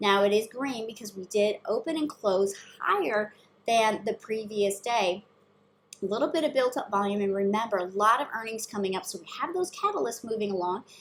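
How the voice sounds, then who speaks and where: A woman's fairly high voice at a fairly quick pace, with ordinary pitch variation and big swings in loudness. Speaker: stock market commentator. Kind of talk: market analysis talk. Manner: fast.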